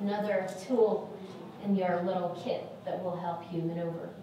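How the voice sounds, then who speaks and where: Strong room echo and light background noise surround a woman speaking at a medium pitch in a monotone, flat way. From Saudi Arabia. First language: Arabic. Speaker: lecturer, lawyer. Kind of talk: lecture. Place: hall.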